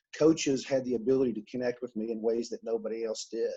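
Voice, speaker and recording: A man's fairly quick, medium-pitched voice in an Alabama accent, with ordinary pitch variation, a dark, mellow tone and a quiet background. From US South, Mobile, Alabama. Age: 40s. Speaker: author, speaker and coach. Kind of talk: podcast interview. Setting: podcast.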